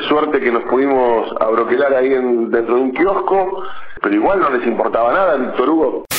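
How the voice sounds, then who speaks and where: A man's voice at a moderate pace with very even loudness, plus audible room echo and noticeable background noise. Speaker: journalist. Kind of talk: phone interview.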